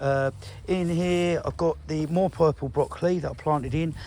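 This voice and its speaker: A man's fairly high voice in an English accent, with ordinary pitch variation. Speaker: allotment gardener vlogger. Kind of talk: casual video walkthrough. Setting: outdoors. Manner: animated.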